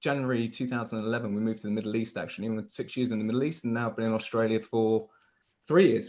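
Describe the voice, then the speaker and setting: A man in a southern English accent talks at a very fast pace. His pitch is medium, and his intonation is fairly even. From southern England, Hampshire. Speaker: recruitment leader. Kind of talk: casual interview. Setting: video call.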